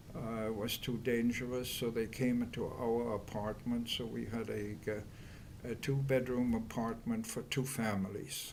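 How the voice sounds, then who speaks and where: A fairly slow, flat, monotone delivery with a German accent and audible room echo. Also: man. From Germany. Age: 80s+. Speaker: Holocaust survivor. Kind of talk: oral history interview. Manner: halting.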